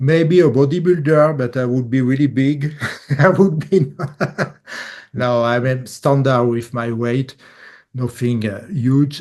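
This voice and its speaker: In a strong French accent, a man speaks at a fairly slow pace with long, frequent pauses, medium pitch and ordinary pitch variation. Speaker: bassist, musician. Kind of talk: casual interview. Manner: halting English.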